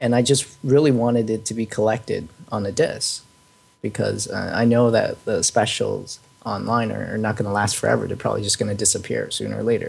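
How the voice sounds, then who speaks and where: Noticeable background noise runs behind the speaker. A man talks at a fairly quick pace. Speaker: film fan discussing DVD release. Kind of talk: casual chat.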